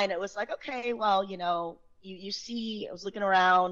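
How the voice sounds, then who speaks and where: The speaker is a woman with a medium pitch. She talks at a moderate pace. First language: not English. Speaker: sales engineer, tax professional. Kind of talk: podcast interview. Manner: animated.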